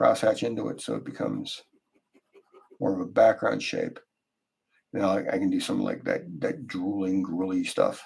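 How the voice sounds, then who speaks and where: A man mumbles at a moderate pace, leaving long, frequent pauses. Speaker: artist live-streaming a drawing. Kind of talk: casual live stream chat while drawing. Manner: mumbling to himself; hesitant, many fillers.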